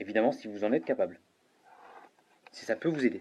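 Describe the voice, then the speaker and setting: This man's voice has a dark, mellow tone. He speaks at a fairly quick pace. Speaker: paranormal investigator. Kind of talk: on-site investigation commentary, addressing spirits and viewers. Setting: indoors at night in an old hotel-restaurant. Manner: halting, with repetitions and fillers.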